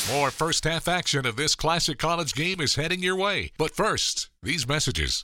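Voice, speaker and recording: A man with a fairly high pitch and a bright, sharp tone speaks with vocal fry at a moderate pace, barely pausing and holding his loudness very even. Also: ordinary pitch variation. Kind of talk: radio broadcast announcer intro and bumper. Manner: polished, crisp, formal announcer delivery.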